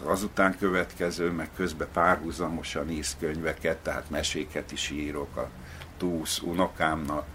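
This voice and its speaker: With noticeable background noise behind him, a man speaks fairly slowly in a very deep, low voice with monotone, flat intonation. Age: old. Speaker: novelist. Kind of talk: interview. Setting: at home.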